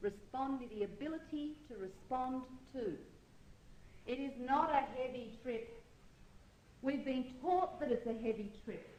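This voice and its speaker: A woman with a New Zealand accent speaks at a high pitch with a dark, mellow tone and ordinary pitch variation. She goes at a fairly slow pace with long, frequent pauses, and audible room echo is present. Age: 40s. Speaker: astrology teacher. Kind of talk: lecture. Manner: halting, with many fillers.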